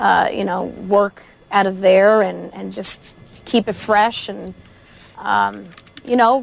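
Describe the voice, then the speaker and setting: With a New Jersey accent, a woman speaks at a very slow pace with long, frequent pauses and big swings in loudness, music playing in the background. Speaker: country singer. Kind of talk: radio interview. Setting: radio studio.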